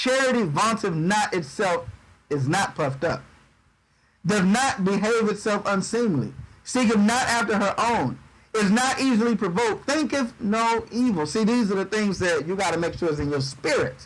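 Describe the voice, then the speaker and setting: A man talks at a high pitch with lively intonation and very even loudness. His pace is moderate, and there is audible room echo. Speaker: bible teacher. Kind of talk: sermon. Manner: dry.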